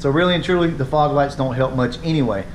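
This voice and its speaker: A man talks with ordinary variation in pitch while light noise sits in the background. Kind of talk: casual tutorial vlog chat. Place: garage. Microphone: phone near.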